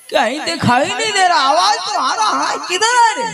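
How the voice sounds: A man's put-on character voice, extremely high-pitched, with a bright, sharp tone, lively intonation and vocal fry. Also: moderate pace.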